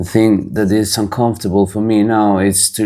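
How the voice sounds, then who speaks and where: A man speaks with a non-native accent. His intonation is monotone and flat. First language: not English. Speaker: razor craftsman and channel host. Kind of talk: tutorial. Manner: halting.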